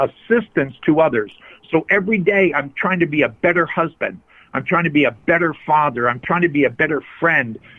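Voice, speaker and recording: A man uses an ordinary speaking voice, pitched fairly high, and his pitch varies in an ordinary way. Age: 60s. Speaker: addiction recovery coach. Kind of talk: interview. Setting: phone call.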